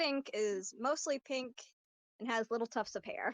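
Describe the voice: Her pitch sits fairly high for a woman, with ordinary variation, and the woman speaks at a fairly slow pace.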